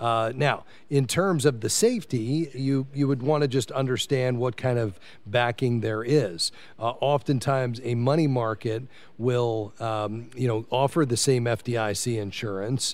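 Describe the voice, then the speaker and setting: This is a man with a normal speaking voice. His pitch is medium and it varies in an ordinary way. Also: fairly slow pace. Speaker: radio host. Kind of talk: call-in radio show. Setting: live broadcast from a convention suite.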